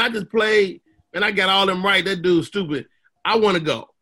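The voice is raised and projected, with a bright, sharp tone, ordinary pitch variation and a fairly quick pace. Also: man. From Chicago, South Side. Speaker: comedian. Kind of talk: casual chat.

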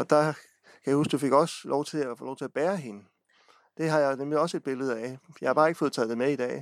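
A man speaks in a normal speaking voice at a fairly quick pace, with ordinary pitch variation and big swings in loudness. The sound is dry and close with no echo. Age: 40s. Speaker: local radio host. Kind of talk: interview.

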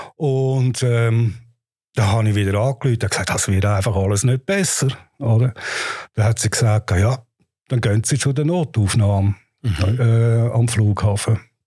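A man speaks at a moderate pace and medium pitch, his somewhat breathy voice dark and mellow, with very even loudness and ordinary pitch variation. Long pauses come often, and the recording is very clean with a silent background. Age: 60s. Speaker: patient. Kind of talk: personal testimony. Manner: halting.

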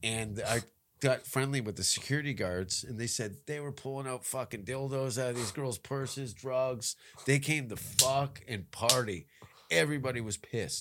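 This man has a normal speaking voice, with medium pitch, ordinary pitch variation and a moderate pace. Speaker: comedian. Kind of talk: casual chat.

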